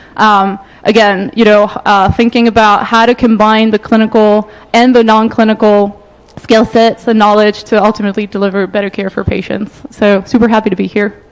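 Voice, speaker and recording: Noticeable background noise sits behind a woman with a fairly high pitch. Her delivery is monotone and flat, and her pace is fairly quick. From France. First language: French. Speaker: management consultant. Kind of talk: conference panel talk.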